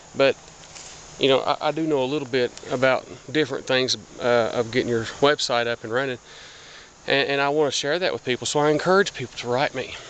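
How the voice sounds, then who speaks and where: Against noticeable background noise, a medium-pitched man with an American accent speaks very fast with fairly even intonation, yet leaves long, frequent pauses. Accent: hillbilly. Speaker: blogger. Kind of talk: casual vlog monologue. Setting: outdoors, walking through woods. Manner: halting, many fillers and repeats.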